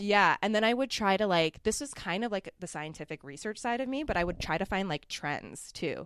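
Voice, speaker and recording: Against a quiet background, a woman with a Canadian accent and a plain, everyday voice talks at a fairly quick pace with a medium pitch and lively intonation. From Ontario, Canada (Mississauga). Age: 20s. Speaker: muralist artist. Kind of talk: casual interview chat.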